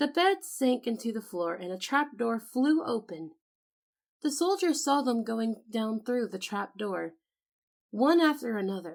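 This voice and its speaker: A soft-spoken woman at a fairly slow pace with very wide pitch swings. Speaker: voice actor. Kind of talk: sleep story. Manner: calm, soft-spoken.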